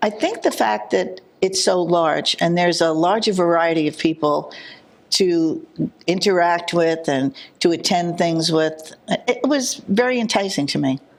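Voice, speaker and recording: A woman with a New Jersey accent, fairly low in pitch, at a fairly slow pace and with very even loudness. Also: lively intonation. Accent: New Jersey (Hudson County). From New Jersey, Jersey City. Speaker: village trustee. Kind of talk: interview.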